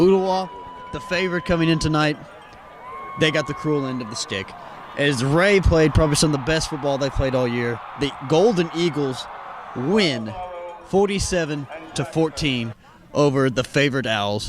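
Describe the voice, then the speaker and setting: At a moderate pace with ordinary pitch variation, the speech has long, frequent pauses over noticeable background noise. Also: man, fairly high pitch for a man. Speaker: sports reporter. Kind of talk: post-game sports wrap-up. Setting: outdoors.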